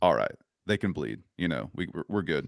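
Very deep and low, a man's voice moves at a fairly quick pace with ordinary pitch variation, with an American accent. The recording is very clean with a silent background, the sound dry and close with no echo. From North Carolina. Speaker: musician. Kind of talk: casual chat. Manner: halting.

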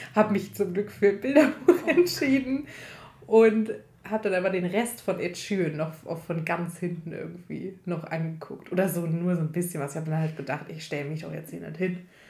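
A woman with a fairly low pitch speaks with lively intonation and big swings in loudness. Audible room echo is present. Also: moderate pace. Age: 20s. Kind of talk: casual chat.

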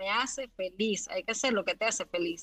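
A woman talks at a moderate pace with ordinary pitch variation. Music plays in the background, and the sound is dry and close with no echo. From Venezuela. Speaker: graphic designer and illustrator. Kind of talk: casual interview. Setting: live audio room online.

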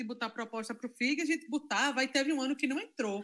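A woman with a high voice talks at a very fast pace on a very clean recording with a silent background. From Zona da Mata Norte, Pernambuco, Brazil (Carpina). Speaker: cultural and music producer. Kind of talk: casual chat.

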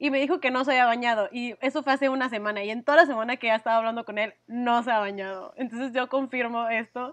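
Against a quiet background, a woman with an ordinary speaking voice talks at a fairly quick pace, her fairly high pitch following fairly even intonation. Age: 20s. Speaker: podcast co-host. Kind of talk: casual chat.

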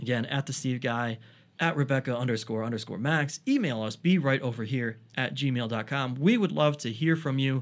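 A man speaks in a normal speaking voice at a moderate pace and a medium pitch. His pitch varies in an ordinary way, on a very clean recording with a silent background. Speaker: podcast host, comedian and author. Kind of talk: casual chat. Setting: studio.

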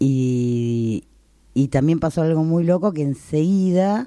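In a very clean recording with a silent background, a woman speaks very slowly in a very deep, low pitch, her tone dark and mellow and her intonation lively. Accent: Rioplatense. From Argentina, San Nicolás (Buenos Aires province). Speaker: stage actress. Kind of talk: interview, casual chat.

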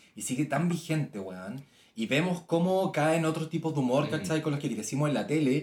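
With a Chilean accent, a man talks at a fairly high pitch and fairly quick pace, with lively intonation and vocal fry. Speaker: podcast co-host. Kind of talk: casual chat.

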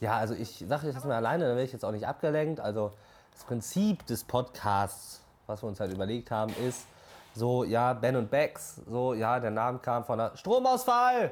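A man with an ordinary speaking voice, a medium pitch and a moderate pace. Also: ordinary pitch variation. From Borkum, northern Germany. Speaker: podcast co-host. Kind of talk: casual chat.

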